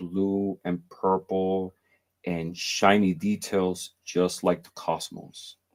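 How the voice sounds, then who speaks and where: At a very slow pace, a man with a fairly low pitch speaks in a flat monotone over a very clean recording with a silent background. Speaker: spiritual content creator. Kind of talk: casual chat.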